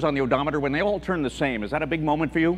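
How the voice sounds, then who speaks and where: There is noticeable background noise as a man with a fairly high pitch talks at a very fast pace with ordinary pitch variation. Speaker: stand-up comedian. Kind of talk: stand-up comedy routine. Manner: bright, energetic.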